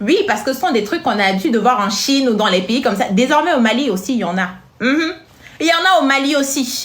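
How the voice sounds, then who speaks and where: Over noticeable background noise and audible room echo, a woman with a high pitch speaks at a very fast pace, with very wide pitch swings and very even loudness. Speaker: social media commentator. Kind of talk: casual vlog commentary. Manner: animated.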